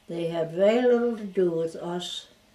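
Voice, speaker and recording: Through noticeable background noise, a woman with a fairly low pitch talks at a moderate pace with ordinary pitch variation. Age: 80s+. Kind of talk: interview answer.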